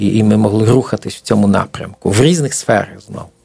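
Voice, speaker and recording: A man's intonation is lively, with noticeable background noise behind him. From eastern Poland. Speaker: preacher. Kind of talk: interview. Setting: studio.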